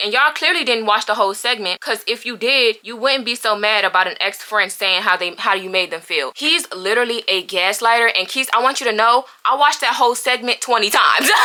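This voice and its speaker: Speaking at a fairly quick pace with hardly any pauses, a woman with an American accent and a fairly high pitch uses ordinary pitch variation against noticeable background noise. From Northeast Washington DC. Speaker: YouTuber. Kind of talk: storytime rant. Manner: loud, yelling.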